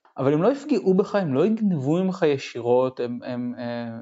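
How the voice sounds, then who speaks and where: A man with a plain, everyday voice, a fairly high pitch, and lively intonation. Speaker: expat software developer. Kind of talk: casual chat.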